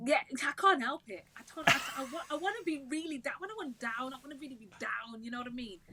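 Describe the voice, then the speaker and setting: A woman's raised, projected voice, high in pitch and very fast, with lively intonation and a bubbly, upbeat tone over noticeable background noise. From Wolverhampton, English West Midlands. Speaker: singer and worship leader. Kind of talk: casual interview chat.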